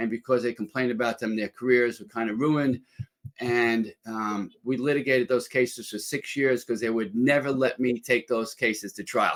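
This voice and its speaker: A man in a New York accent talks at a medium pitch and a moderate pace. His intonation is flat and monotone. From New York City. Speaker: former lawyer and entrepreneur. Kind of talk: interview.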